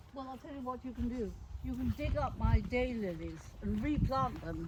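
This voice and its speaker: Spoken at a moderate pace, the voice jumps widely between loud and soft over noticeable background noise. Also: woman. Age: 80s+. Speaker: retired keen gardener. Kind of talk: casual garden tour talk.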